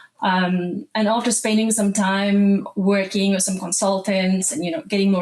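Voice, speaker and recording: A woman with a South African accent, medium in pitch, at a moderate pace against noticeable background noise. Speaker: animal nutritionist. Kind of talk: podcast interview.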